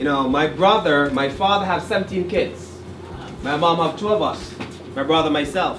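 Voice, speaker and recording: Recorded with audible room echo and noticeable background noise, a man speaks at a moderate pace. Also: fairly high pitch for a man, ordinary pitch variation. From Jamaica. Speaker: college director. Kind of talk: speech to an audience.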